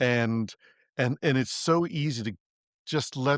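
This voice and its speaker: A man speaks in a normal speaking voice at medium pitch with fairly even intonation. The recording is very clean with a silent background, and the sound is dry and close with no echo. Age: 60s. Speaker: podcast host. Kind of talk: podcast interview. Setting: audio podcast recording.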